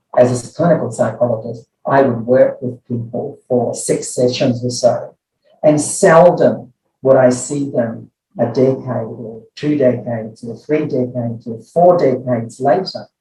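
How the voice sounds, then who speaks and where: With music in the background, a man at medium pitch talks at a fairly slow pace with ordinary pitch variation. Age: 70s. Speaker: clinical psychology professor. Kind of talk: interview.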